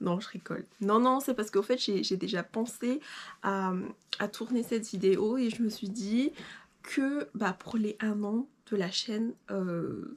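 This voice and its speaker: In a very clean recording with a silent background, a woman with a fairly high pitch and ordinary pitch variation speaks very slowly, leaving long, frequent pauses. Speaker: sewing YouTuber. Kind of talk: casual vlog talk to camera. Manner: hesitant, many fillers.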